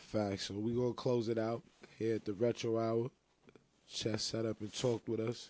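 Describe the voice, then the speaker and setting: A man speaks at a moderate pace and medium pitch in a flat monotone, his dark, mellow tone sounding dry and close with no echo, broken by long, frequent pauses. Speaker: podcast co-host. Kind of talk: casual interview.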